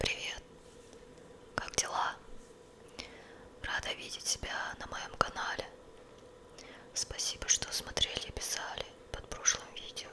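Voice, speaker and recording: A woman whispering at a very slow pace, with long, frequent pauses and big swings in loudness, amid noticeable background noise. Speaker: ASMR creator. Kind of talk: ASMR whisper, showing and describing tarot cards to camera. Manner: whispered, soft.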